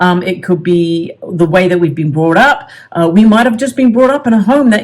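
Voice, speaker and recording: A woman speaks in a somewhat breathy voice. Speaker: self-help coach. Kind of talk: tutorial. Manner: halting.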